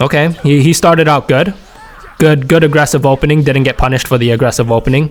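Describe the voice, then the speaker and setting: A man's fairly high-pitched voice at a very fast pace, very even in loudness and fairly even in intonation, over noticeable background noise. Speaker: gaming YouTuber. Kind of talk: gameplay commentary analysis. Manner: stuttering, repeats words; casual, conversational.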